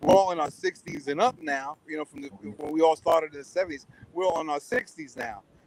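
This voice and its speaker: Amid noticeable background noise, a man with a fairly high pitch talks very fast, his intonation lively and his loudness swinging widely. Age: 60s. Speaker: drummer. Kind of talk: interview. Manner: halting.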